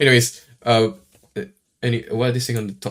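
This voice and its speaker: A man with a Singaporean accent talks at a very fast pace. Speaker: streamer. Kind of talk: live reaction stream. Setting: live stream. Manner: halting, many fillers and repeats; casual.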